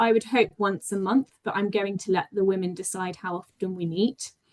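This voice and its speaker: In a British accent, a woman speaks at a medium pitch with fairly even intonation and a dry, close sound with no echo. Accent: sounds very British. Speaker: PhD researcher and health insights manager. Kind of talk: conference talk. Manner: hesitant, with frequent ums and restarts.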